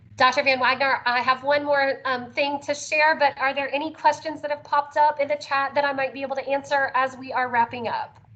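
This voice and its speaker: Over noticeable background noise, a woman with a high pitch talks at a fairly quick pace with hardly any pauses. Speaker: special education transition specialist. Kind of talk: conference presentation. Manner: animated.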